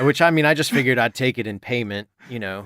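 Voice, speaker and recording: A man mumbles in a put-on character voice at a very fast pace. His pitch is medium, and the sound is dry and close with no echo. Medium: actual play. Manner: halting, mumbling, full of fillers.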